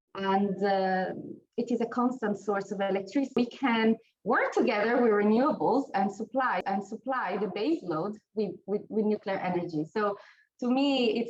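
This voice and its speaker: This woman speaks with an Italian accent and a fairly high pitch. Her pace is moderate. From Italy. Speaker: nuclear researcher. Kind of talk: panel discussion. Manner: halting.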